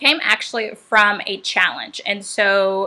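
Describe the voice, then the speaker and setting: This woman has an American accent, a bright, sharp tone and a medium pitch. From Atlanta, US South. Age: 30s. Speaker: chef and cookbook author. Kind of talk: livestream book launch talk. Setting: livestream. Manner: casual, relaxed.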